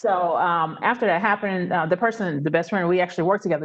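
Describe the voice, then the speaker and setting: A woman with an American accent speaks in an ordinary speaking voice, medium in pitch, with ordinary pitch variation. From US South, Memphis, Tennessee. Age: 40s. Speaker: travel business owner, former aerospace engineer. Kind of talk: interview.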